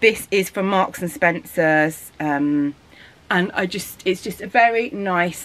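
A woman speaks with a Birmingham accent at a very slow pace. Her intonation is lively. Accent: Birmingham (Brummie) English. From England. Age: 40s. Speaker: family vlogger. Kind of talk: casual vlog chat to camera. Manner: animated. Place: home room. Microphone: phone near.

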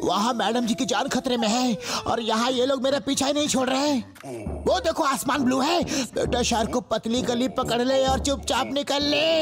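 Doing a cartoonish character voice at an extremely high pitch, a man talks at a moderate pace over clear music in the background. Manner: frantic, earnest.

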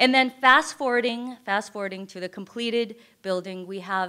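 Over a quiet background, a woman speaks with an American accent in a bright, sharp tone. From US West Coast (Northern California). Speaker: nonprofit ministry founder and singer; presenter. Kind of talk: presentation to audience. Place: hall. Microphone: podium.

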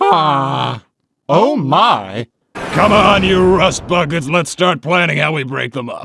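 Using a put-on character voice, a man speaks at a fairly slow pace with a high pitch. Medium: dub. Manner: gruff, bossy.

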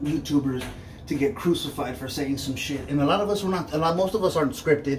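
With light background noise behind him, a man speaks at a fairly quick pace and ordinary pitch variation. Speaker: YouTuber. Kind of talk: casual vlog commentary. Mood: earnest, conversational. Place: bathroom. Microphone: phone near.

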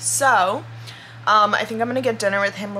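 There is light background noise as a woman speaks with ordinary pitch variation. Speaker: vlogger. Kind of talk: casual vlog chat. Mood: relaxed, chatty, laughing. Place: home room. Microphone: phone near.

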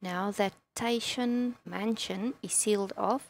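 A woman with a non-native accent and a fairly high pitch. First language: not English. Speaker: gaming video creator. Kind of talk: gameplay commentary. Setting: home recording with loud keyboard. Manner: casual, chatty.

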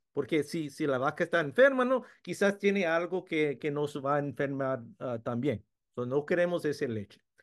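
A man with lively intonation and a fairly high pitch keeps a moderate pace, the background quiet. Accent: English. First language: English (speaking Spanish). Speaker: food science professor. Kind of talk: webinar presentation. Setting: video webinar. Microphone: video call.

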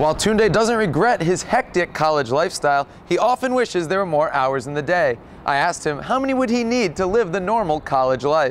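Pitched high, a man speaks at a fairly quick pace with very wide pitch swings. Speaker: sports broadcaster, anchor and reporter. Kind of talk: TV sports news reporting.

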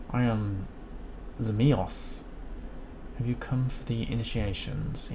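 Over loud background noise, a man in a hissing, put-on character voice speaks fairly slowly at medium pitch. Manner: chilling, menacing.

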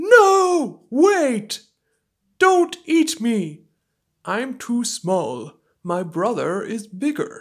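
A woman's cartoonish character voice, high-pitched, with very wide pitch swings, a very slow pace and long, frequent pauses. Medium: puppet.

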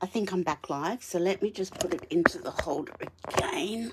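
Against loud background noise, a woman with an Australian accent speaks fairly slowly at a medium pitch with ordinary pitch variation. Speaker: papercraft demonstrator. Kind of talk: live craft tutorial. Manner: casual, chatty with laughs. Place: home room. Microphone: phone near.

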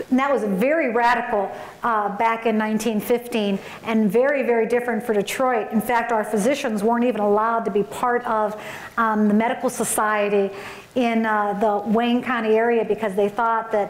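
Audible room echo surrounds a woman who speaks at a moderate pace with monotone, flat intonation and very even loudness. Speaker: conference keynote speaker. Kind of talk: keynote speech. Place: hall. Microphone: podium.

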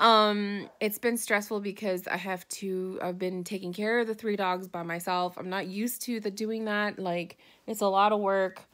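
A woman's flat, monotone delivery over a quiet background. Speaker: vlogger. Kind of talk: casual vlog chat. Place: home room. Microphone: phone near.

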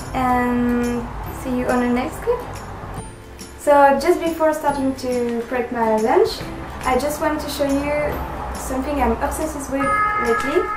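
With a French accent, a woman speaks at a fairly slow pace in a high voice with ordinary pitch variation, leaving long, frequent pauses while clear music plays in the background. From France. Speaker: vegan fitness vlogger. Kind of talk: casual talk to camera. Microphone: phone near.

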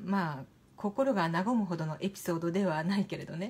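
Somewhat breathy, a woman speaks in a calm, soothing tone at a moderate pace. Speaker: narrator. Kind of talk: literary reading. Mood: calm, gentle, soothing. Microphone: phone near.

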